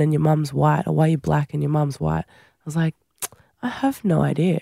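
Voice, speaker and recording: The pace of the speech is moderate. It comes with an Australian accent. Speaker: Olympic rugby sevens player. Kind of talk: interview.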